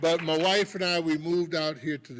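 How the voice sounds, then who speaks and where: A man speaks with an American accent. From US Midwest, Milwaukee. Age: 60s. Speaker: fatherhood program leader. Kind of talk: motivational talk. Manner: animated.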